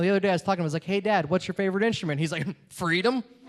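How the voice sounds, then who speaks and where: Over noticeable background noise, a man with an American accent speaks in a high pitch with ordinary pitch variation. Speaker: comedian. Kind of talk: stand-up.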